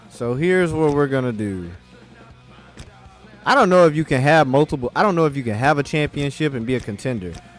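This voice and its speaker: Music plays in the background as a man speaks at a fairly quick pace and a medium pitch. His tone is animated, with lively intonation. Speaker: gaming livestreamer. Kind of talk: live gameplay commentary. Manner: loud; casual, animated.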